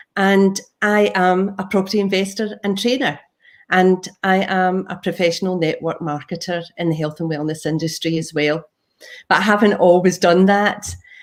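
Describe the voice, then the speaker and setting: A woman with a Glaswegian accent, medium in pitch, at a moderate pace and with fairly even intonation. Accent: Glaswegian Scottish. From Scotland, Glasgow. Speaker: property investor and trainer. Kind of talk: presentation.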